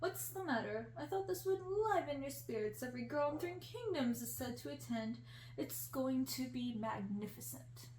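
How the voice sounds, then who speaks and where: A booming, put-on character voice speaks at a moderate pace. Clear background noise is present. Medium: read story.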